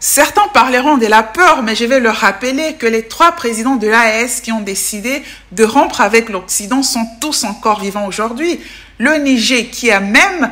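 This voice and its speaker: A woman with a fairly high pitch speaks at a moderate pace. Her pitch varies in an ordinary way, with noticeable background noise behind her. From DR Congo, Bukavu (South Kivu). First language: Tetela (speaking French). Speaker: political commentator, youtuber. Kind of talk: video commentary.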